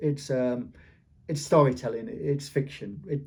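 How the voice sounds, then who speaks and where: Speaking at a fairly slow pace, a man with a fairly high pitch has a somewhat breathy voice and a dark, mellow tone. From Yorkshire, England. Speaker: author. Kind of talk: interview. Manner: halting, with repetitions.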